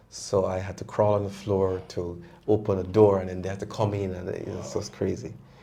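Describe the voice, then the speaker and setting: A man's fairly low, dark, mellow voice, monotone and flat, with big swings in loudness and audible room echo. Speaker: prostate cancer survivor. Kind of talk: testimony. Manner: halting.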